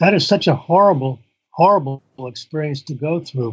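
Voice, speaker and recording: With an American accent, a man talks at a moderate pace, somewhat breathy and with lively intonation. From US Midwest, northern Indiana. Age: 70s. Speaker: author and former pastor. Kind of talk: interview.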